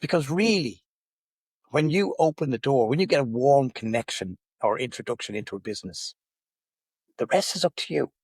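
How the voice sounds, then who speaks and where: In a dry, close recording with no echo, a man talks at a fairly quick pace with a fairly high, somewhat breathy voice. His pitch swings very widely, and he leaves long, frequent pauses. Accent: Irish. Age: 60s. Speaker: business networking director. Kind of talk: podcast interview. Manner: animated.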